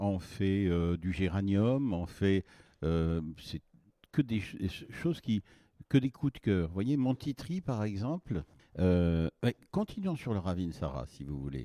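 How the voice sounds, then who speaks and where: Very slowly, a man speaks with a fairly low pitch and very wide pitch swings. His tone is dark and mellow, with a dry, close sound, no echo, and a quiet background. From northern France, Boulogne-sur-Mer. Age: 70s. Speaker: essential oil producer. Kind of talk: interview. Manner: halting.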